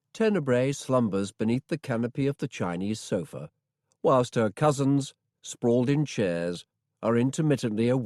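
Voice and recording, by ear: Someone reads aloud in a natural voice with a quiet background.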